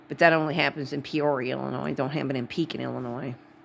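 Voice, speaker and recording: This voice has a Wisconsin accent. The pace is fairly quick. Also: woman. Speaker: vlogger. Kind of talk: casual monologue. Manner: rambling, halting.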